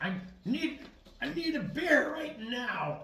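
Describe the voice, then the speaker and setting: A man's put-on character voice, extremely high in pitch, raised and projected, at a fairly slow pace with slight echo. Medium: actual play. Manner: mumbling, defeated.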